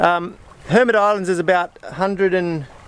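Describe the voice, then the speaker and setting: A man's high-pitched voice with ordinary pitch variation, dry, close sound with no echo, and noticeable background noise. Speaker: solo sailor. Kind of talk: casual vlog talk to camera. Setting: outdoors. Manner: upbeat, relaxed.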